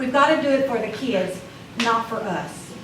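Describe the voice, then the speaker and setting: A woman talks at a moderate pace. Room echo is audible, along with noticeable background noise. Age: 60s. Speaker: school board member. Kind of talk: board meeting remarks. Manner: emotional, halting.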